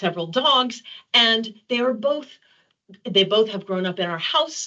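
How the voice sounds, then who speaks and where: In an American accent, a woman speaks at a fairly high pitch. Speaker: developmental psychology professor. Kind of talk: webinar presentation.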